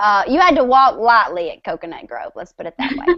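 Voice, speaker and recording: A woman speaks with a high-pitched voice. She has a strong Southern US accent. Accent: strong Southern country. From West Tennessee, near Memphis. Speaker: country singer. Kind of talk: casual chat.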